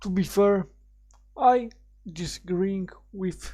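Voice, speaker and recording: A man with a high pitch and a dark, mellow tone speaks at a very slow pace. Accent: non-native. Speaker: YouTuber. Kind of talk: video reaction commentary. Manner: halting. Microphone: cheap crappy mic, raw unprocessed sound.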